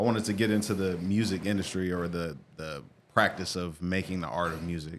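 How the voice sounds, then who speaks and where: A man with a very deep, low voice talks fairly quickly, keeping his intonation fairly even. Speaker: music artist and producer. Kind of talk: casual interview. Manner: fast.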